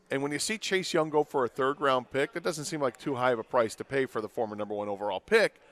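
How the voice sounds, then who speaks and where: A man talks at a fairly quick pace with lively intonation in an ordinary speaking voice. The sound is dry and close with no echo, a very clean recording over a silent background. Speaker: sports radio host. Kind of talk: sports radio talk show. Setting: live broadcast at a stadium.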